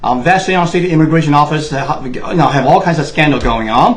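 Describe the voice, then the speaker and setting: A man with a Chinese accent talks in a fairly high voice with ordinary pitch variation. There is audible room echo. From Taiwan. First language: Mandarin Chinese. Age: 60s. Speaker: political commentator. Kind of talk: monologue. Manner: impassioned.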